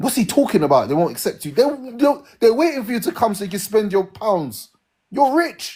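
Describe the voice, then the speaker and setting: On a very clean recording with a silent background, a man with a British accent talks at a fairly quick pace, his high voice dark and mellow in tone with very wide pitch swings. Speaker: live stream host. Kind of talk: heated debate. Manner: animated.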